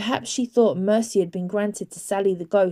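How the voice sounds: A natural reading voice carries the text. Its intonation is fairly even.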